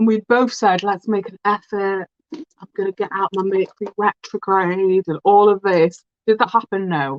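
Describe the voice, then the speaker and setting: With a British accent, the speaker moves at a moderate pace and shows big swings in loudness. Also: woman, medium pitch for a woman. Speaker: beauty vlogger. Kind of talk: casual chat. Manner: animated.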